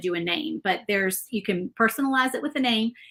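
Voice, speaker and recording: Speaking with a Southern US accent, a woman has a bright, sharp tone and lively intonation. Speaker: crafter and shop owner. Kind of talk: live-stream painting tutorial. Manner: fast.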